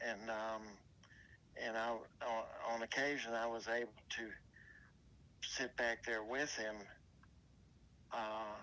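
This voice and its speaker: In an American accent, a man with a bright, sharp tone speaks at a very slow pace, using long, frequent pauses, monotone, flat intonation and very even loudness. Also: medium pitch for a man. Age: 60s. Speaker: interviewee recalling past. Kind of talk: interview reminiscence. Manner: halting, many fillers.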